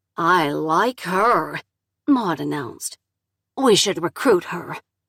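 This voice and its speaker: The speaker uses a put-on character voice, growling at a fairly slow pace. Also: female-sounding voice, fairly low pitch for a woman. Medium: read story.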